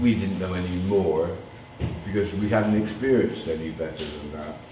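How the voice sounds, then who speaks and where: A man's very deep, low voice with ordinary pitch variation, set against noticeable background noise and audible room echo. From Bristol, south-west England. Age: 70s. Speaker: DJ. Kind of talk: interview.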